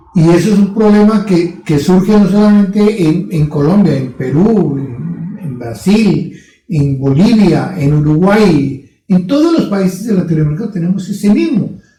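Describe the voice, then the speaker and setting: Amid audible room echo, a man with a high pitch and lively intonation talks at a fairly slow pace with hardly any pauses. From Latin America. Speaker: podcast co-host. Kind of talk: casual discussion.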